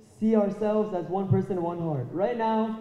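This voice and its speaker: Audible room echo surrounds a man's high-pitched voice, which keeps fairly even intonation. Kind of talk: extemporaneous speech to an audience. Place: hall. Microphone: handheld.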